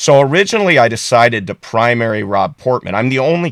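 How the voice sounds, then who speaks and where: In a very clean recording with a silent background, a man talks at a fairly quick pace. He has an ordinary speaking voice with ordinary pitch variation. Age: 60s. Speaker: political candidate. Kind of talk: candidate interview.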